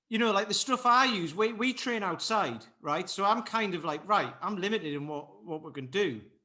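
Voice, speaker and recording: In a northeast English accent, a man with a high pitch and a bright, sharp tone uses a raised, projected voice and lively intonation, speaking at a moderate pace with hardly any pauses. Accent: north-east English. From north-east England, Durham. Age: 40s. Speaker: fitness coach and martial artist. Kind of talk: podcast interview.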